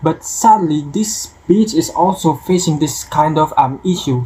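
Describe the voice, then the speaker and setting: The speech comes at a fairly slow pace. Noticeable background noise runs underneath. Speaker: university student. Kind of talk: persuasive speech. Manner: halting, with fillers.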